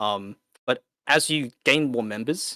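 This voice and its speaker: A medium-pitched man with an Australian accent, lively intonation, and a bright, sharp tone, on a very clean, dry, close recording with a silent background and no echo. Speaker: competitive gamer, clan leader. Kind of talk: podcast interview answer.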